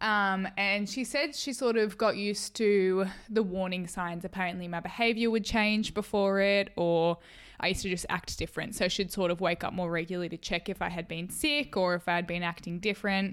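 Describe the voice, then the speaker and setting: On a very clean recording with a silent background, a woman with an Australian accent speaks fairly quickly at medium pitch with ordinary pitch variation. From Australia, rural New South Wales. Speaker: podcast co-host. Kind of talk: casual chat. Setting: at home.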